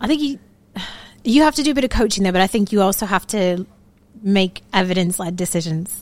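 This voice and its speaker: A woman with an American accent speaks at a fairly quick pace and a medium pitch, her intonation lively and broken up by long, frequent pauses. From Florida, US. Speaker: product manager, ex-consultant. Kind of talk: interview, casual chat. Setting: studio, on a couch.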